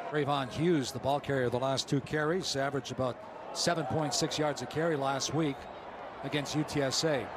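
A man's speech at a moderate pace and fairly even intonation, with noticeable background noise. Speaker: play-by-play announcer. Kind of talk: live sports commentary.

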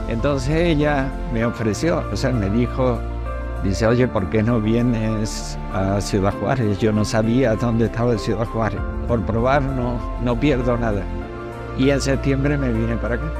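A man at a fairly slow pace, dry sound with no echo, clear music playing behind him. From Andalusia, Spain. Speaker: painter. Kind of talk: interview answer. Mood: warm, grateful. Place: street. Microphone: lapel.

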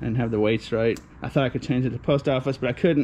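Light background noise is present. Over it, a man speaks at a very fast pace. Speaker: scavenging vlogger. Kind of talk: casual vlog chat. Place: street. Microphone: phone near.

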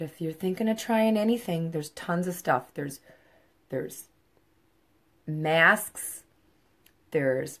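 A woman's bright, sharp tone comes through against a quiet background. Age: 50s. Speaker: makeup seller. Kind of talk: makeup tutorial livestream. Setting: live video at home. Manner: casual. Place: home room. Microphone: phone near.

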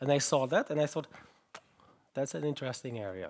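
This man talks with a German accent. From Germany. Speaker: research group head, conference keynote speaker. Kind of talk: keynote talk. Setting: conference stage with audience. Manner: halting, with fillers and repetitions. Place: hall.

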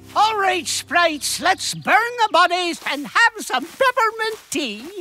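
A put-on character voice of extremely high pitch moves along at a fairly slow pace. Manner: menacing, commanding, gleeful.

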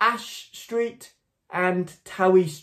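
A man speaks with ordinary pitch variation. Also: quiet background. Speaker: church minister. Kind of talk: prayer and church announcements. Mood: calm, earnest. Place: home room. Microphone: phone near.

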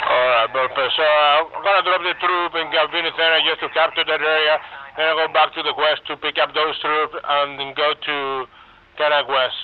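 A man with a normal speaking voice, fairly high in pitch, at a moderate pace with fairly even intonation. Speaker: flight sim multiplayer pilot. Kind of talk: radio comms in flight sim. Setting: voice comms over game radio.

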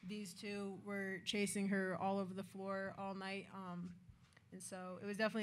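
A woman speaks at a fairly quick pace. Her pitch sits in the medium range and barely moves.

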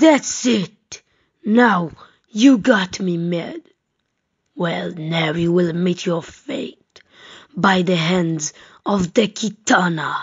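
A woman with a medium pitch speaks at a very slow pace, leaving long, frequent pauses.

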